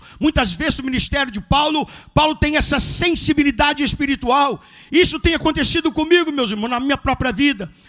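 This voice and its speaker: With an animated tone and ordinary pitch variation, a man with an extremely high pitch talks at a fairly quick pace over noticeable background noise. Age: 70s. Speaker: pastor. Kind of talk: sermon.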